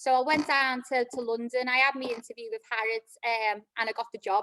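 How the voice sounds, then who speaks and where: A woman speaks at a fairly quick pace in a Liverpool accent, her high voice bright and sharp, with fairly even intonation and a dry, close sound without echo. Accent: Liverpool (Scouse). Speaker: club operations manager. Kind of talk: career talk. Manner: hesitant, many fillers.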